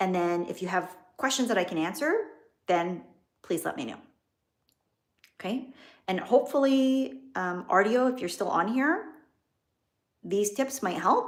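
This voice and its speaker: A woman at medium pitch with very wide pitch swings, a fairly slow pace and long, frequent pauses. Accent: slight Canadian. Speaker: business and wealth coach. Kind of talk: live stream talk to viewers. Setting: livestream.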